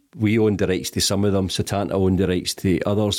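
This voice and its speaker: Recorded very cleanly against a silent background, a man with a Glaswegian accent speaks in a very deep, low pitch. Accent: Glaswegian Scottish. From Scotland, East End of Glasgow. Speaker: charity chief executive. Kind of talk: interview. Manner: hesitant, many ums.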